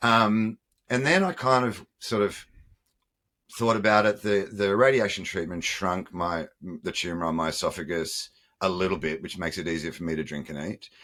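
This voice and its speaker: Fairly low-pitched man with an Australian accent, bright, sharp tone, ordinary pitch variation, moderate pace, very clean recording and silent background. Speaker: former nightclub owner. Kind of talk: interview.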